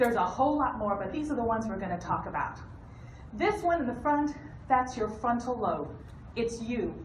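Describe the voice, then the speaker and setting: A woman with a high voice, very wide pitch swings, a fairly quick pace and long, frequent pauses, amid audible room echo and noticeable background noise. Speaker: hospice nurse. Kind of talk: educational talk. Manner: fast; animated.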